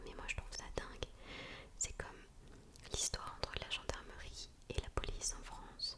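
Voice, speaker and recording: In a whisper, a woman talks at a moderate speed. There's noticeable noise in the background. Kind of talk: casual commentary to the viewer.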